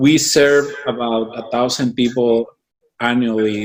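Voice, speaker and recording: In a Mexican accent, a man speaks at a very slow pace. His intonation is fairly even. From Michoacán, Mexico. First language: Spanish. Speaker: business organization founder. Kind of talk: interview.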